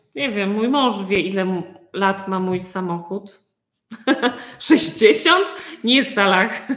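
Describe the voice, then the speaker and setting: A woman's medium-pitched voice at a very slow pace. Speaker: Polish language teacher. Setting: video call.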